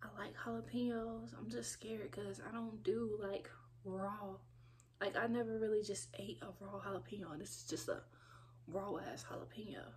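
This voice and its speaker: The pitch swings very widely at a moderate pace. Light background noise is present. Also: woman. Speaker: food vlogger. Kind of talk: casual vlog chat. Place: home room. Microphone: phone near.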